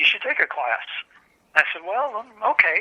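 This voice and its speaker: At a fairly quick pace, an unremarkable speaking voice talks with lively intonation. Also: man. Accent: American. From Michigan, US Midwest. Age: 60s. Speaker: book publisher and translator. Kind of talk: oral history interview. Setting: phone call.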